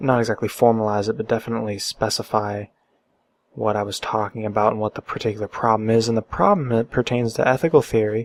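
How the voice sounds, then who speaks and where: A quiet man speaks at a very fast pace with monotone, flat intonation, in a dry, close sound with no echo. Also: medium pitch for a man. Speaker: philosophy vlogger. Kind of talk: casual monologue. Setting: at home late at night. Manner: halting, many fillers and repetitions.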